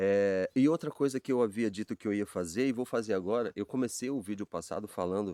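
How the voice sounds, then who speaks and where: The man's tone is dark and mellow. He moves along at a fairly quick pace. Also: dry, close sound with no echo. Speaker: Bible teacher. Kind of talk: informal Bible talk. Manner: fast; halting, repeats words.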